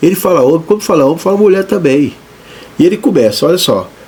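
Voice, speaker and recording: There is noticeable background noise as a man talks with lively intonation. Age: 60s. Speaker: pastor. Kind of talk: sermon. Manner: animated; halting.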